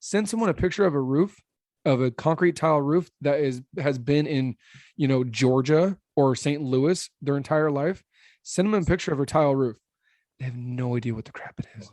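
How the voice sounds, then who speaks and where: A man with a fairly high pitch and ordinary pitch variation sounds animated, with big swings in loudness, in a dry, close recording with no echo and a quiet background. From Arizona, Phoenix area. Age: 30s. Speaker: roofing company owner. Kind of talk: podcast interview. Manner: fast.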